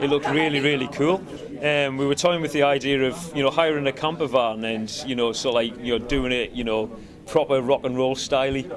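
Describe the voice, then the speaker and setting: Music plays in the background as a man with a Cumbrian accent talks at a fairly quick pace, his pitch fairly high with ordinary pitch variation. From Cumbria, northern England. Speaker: rock band musician. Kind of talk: casual interview. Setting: music festival. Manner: hesitant, many fillers.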